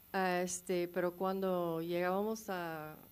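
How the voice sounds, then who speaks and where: A woman's fairly low, monotone voice with a non-native accent. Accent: non-native Spanish, rusty. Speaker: documentary filmmaker. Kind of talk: panel discussion Q&A. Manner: halting.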